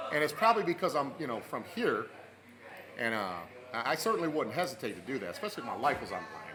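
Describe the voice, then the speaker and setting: Amid noticeable background noise and audible room echo, a man with an American accent talks at a very fast pace with very wide pitch swings and long, frequent pauses. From Michigan, Flint area. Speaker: sports talk podcast host. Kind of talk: casual chat.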